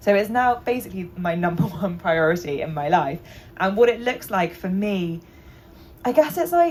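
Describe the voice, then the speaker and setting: A woman's plain, everyday voice, medium in pitch, with lively intonation at a moderate pace. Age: 30s. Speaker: journalist. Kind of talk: panel discussion.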